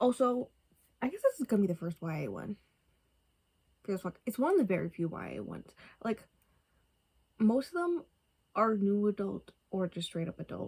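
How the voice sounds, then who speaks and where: A woman's somewhat breathy, fairly high voice at a fairly quick pace, broken by long, frequent pauses. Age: 20s. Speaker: book vlogger. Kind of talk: casual chat. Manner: casual, filler-heavy.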